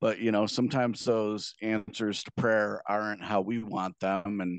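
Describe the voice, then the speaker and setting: A man's plain, everyday voice, fairly low in pitch and at a fairly slow pace. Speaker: podcast co-host. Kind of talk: casual chat.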